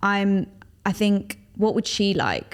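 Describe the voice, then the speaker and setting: At a moderate pace, a woman with a London accent speaks at a medium pitch in a very clean recording with a silent background. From London, England. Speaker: TV host and public speaker. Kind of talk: podcast interview.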